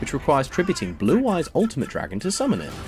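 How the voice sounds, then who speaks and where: A man rattles off his words very fast as music plays behind him. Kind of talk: trivia narration.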